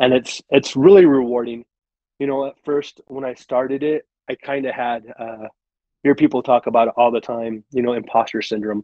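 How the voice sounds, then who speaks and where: A man speaks in a plain, everyday voice. His pitch is medium and his pace moderate. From Arizona, moved from Michigan at 16. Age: 40s. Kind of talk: casual podcast interview. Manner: conversational with many fillers.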